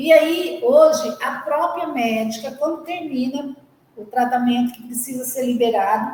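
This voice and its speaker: A woman with a high pitch and ordinary pitch variation speaks at a fairly slow pace, her loudness swinging widely, amid audible room echo and noticeable background noise. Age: 60s. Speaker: charity volunteer. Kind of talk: testimony.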